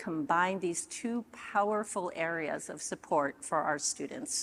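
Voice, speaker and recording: Recorded very cleanly over a silent background, a woman speaks at a fairly slow pace with lively intonation. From immigrant to the US as a child. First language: not English. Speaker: keynote speaker. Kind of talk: keynote talk. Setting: stage with audience.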